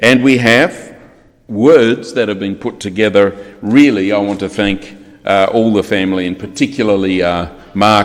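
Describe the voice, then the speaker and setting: A man with an Australian accent, fairly low-pitched, at a moderate pace with fairly even intonation. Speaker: funeral celebrant. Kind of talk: eulogy. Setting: funeral service. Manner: formal.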